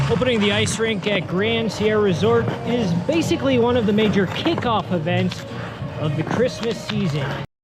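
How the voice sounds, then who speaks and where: A man with an American accent, high pitch and very wide pitch swings at a moderate pace, music in the background. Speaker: TV news reporter and anchor. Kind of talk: TV news report.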